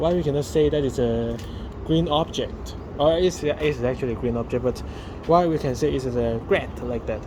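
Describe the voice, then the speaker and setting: Speaking with a Chinese accent, a man talks at a moderate pace with a fairly high pitch. Noticeable background noise runs underneath. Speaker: daily vlogger. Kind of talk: casual vlog monologue. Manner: halting, many fillers.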